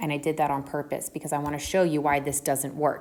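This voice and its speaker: A woman speaks in an American accent on a very clean recording with a silent background. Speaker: math teacher. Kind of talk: tutorial.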